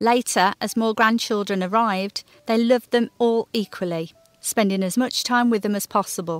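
With music in the background, a woman talks at a moderate pace with fairly even intonation. The sound is dry and close, with no echo. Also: fairly high pitch for a woman. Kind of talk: heritage documentary narration.

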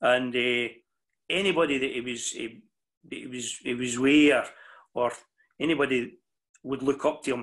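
A man speaks with a Scottish accent at a moderate pace. The background is quiet. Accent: Ayrshire Scots. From Scotland, New Cumnock, Ayrshire; Scotland. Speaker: mental health worker and club speaker; interviewee. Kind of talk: interview. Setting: video call. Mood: warm, reminiscing. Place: home room. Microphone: video call.

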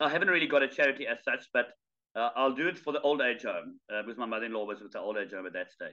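A man speaks at a very fast pace in a fairly high pitch. The background is quiet. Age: 50s. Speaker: charity fundraiser and ultramarathon runner; guest. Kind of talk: casual interview chat. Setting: video call. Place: home room. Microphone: video call.

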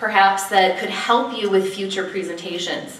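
Noticeable background noise sits behind the speech. A woman talks fairly slowly at a medium pitch. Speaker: speech evaluation contestant. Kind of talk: speech evaluation. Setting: stage with audience.

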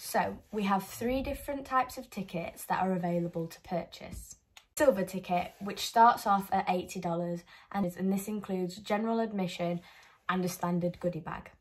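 Somewhat breathy, a woman talks at a moderate pace. Her loudness swings widely. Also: ordinary pitch variation. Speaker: presenter. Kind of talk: presentation of a marketing plan. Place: home room. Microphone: phone near.

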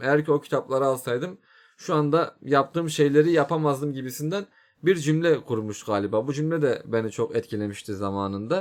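A man with an ordinary speaking voice talks at a fairly quick pace and a fairly high pitch. The recording is very clean, with a silent background. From Turkey. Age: 20s. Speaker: YouTuber. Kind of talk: casual monologue. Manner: informal.

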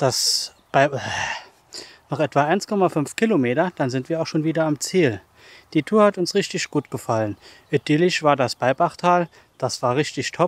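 A man's lively intonation at a moderate pace, in a dry sound with no echo. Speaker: hiking vlogger. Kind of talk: casual vlog chat. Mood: content, upbeat. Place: forest. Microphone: phone near.

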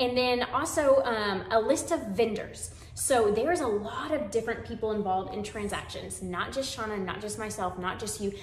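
A woman with an American accent speaks at a moderate pace with hardly any pauses, with audible room echo and light background noise. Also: fairly high pitch for a woman, ordinary pitch variation. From San Antonio, Texas; Texas. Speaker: real estate agent. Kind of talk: webinar presentation. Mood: warm, friendly. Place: home room.

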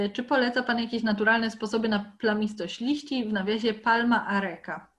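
A woman speaks in a normal speaking voice at a fairly high pitch, with fairly even intonation, at a moderate pace, against a quiet background. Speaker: botanical garden educator and moderator; meeting moderator. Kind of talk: moderating an online Q&A. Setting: video call. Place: home room. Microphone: laptop mic, no headset; video call.

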